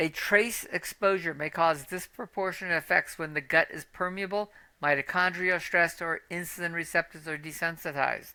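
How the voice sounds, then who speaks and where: In a very clean recording with a silent background, a woman with a fairly low pitch and a bright, sharp tone speaks at a moderate pace with fairly even intonation. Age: 60s. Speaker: metabolic health coach. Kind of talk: educational monologue. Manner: casual, conversational with fillers.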